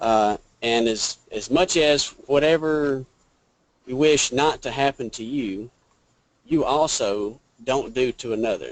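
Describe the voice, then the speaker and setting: Speaking with a strong Georgia accent, a man talks at a very slow pace with long, frequent pauses, his medium pitch showing ordinary variation. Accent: strong southern Georgia. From US South, Georgia. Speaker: Greek student participant. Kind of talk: reading aloud and translating.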